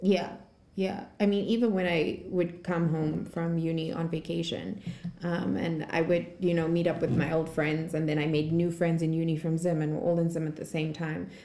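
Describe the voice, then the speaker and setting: A woman's fairly low pitch, fairly even intonation and moderate pace, with noticeable background noise. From Zimbabwe. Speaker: podcast host. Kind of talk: casual chat. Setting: studio.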